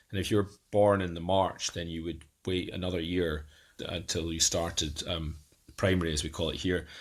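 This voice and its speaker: A man with a Scottish accent speaks in a very deep, low voice. His pace is moderate, with long, frequent pauses. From Scotland, Edinburgh. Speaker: guest sharing life with a genetic condition. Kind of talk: podcast interview, personal story. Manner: halting, many fillers and restarts.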